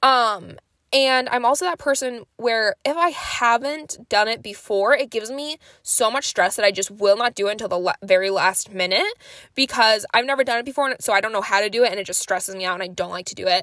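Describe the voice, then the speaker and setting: Recorded dry and close with no echo, a loud woman speaks fairly quickly in a bright, sharp, fairly high voice with ordinary pitch variation. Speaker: podcast co-host. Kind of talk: casual solo monologue.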